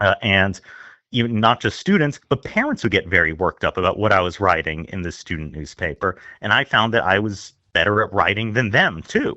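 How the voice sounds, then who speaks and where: This man has an unremarkable speaking voice with an American accent, a fairly low pitch, ordinary pitch variation and a fairly quick pace. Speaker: newspaper opinion editor. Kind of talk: casual interview.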